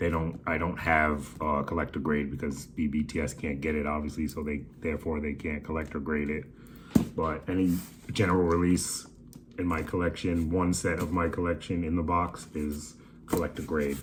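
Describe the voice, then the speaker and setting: A man talks in a very deep, low, somewhat breathy voice. His intonation is monotone and flat, with audible room echo. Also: moderate pace. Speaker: toy collector vlogger. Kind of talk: casual haul video. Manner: casual, profane slang.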